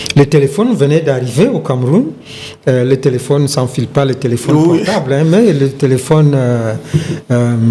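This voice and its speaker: A man talks at a fairly slow pace with a medium pitch. His pitch varies in an ordinary way, and background noise is noticeable. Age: 70s. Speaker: retired sports journalist and broadcaster. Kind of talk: interview answer.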